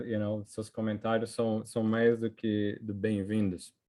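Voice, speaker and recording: A man is speaking. His pace is fairly slow. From Brazil, São Paulo. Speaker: economics professor. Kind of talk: academic seminar presentation. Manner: halting, many fillers and restarts.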